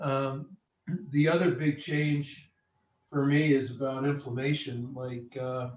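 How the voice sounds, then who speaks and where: At a very slow pace, a man with a fairly high pitch speaks in a monotone, flat intonation. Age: 60s. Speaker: participant sharing product testimony. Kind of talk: testimony.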